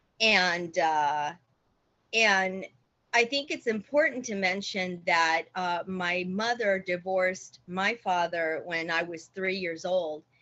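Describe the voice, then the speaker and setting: A woman's medium-pitched voice in a Spanish accent, very slow, with ordinary pitch variation. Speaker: church member giving testimony. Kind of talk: testimony. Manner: halting.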